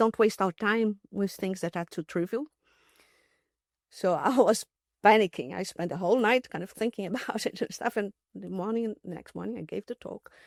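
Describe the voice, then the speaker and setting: Speaking at a moderate pace with a non-native accent and ordinary pitch variation, the voice shifts a lot in loudness, on a very clean recording with a silent background and a dry, close sound with no echo. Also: woman, medium pitch for a woman. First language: not English. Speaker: mathematician. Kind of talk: interview storytelling. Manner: halting, many fillers and restarts.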